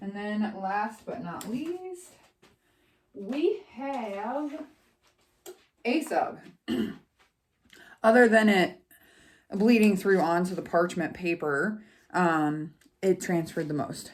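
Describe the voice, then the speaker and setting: This woman's medium-pitched voice moves at a very slow pace. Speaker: crafting YouTuber. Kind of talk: product review tutorial. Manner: casual, filler-heavy.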